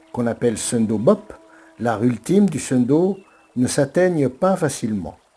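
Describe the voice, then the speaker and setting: With lively intonation, the speaker goes at a fairly slow pace against noticeable background noise. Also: man. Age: 60s. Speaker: martial arts and breathing teacher. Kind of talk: motivational monologue.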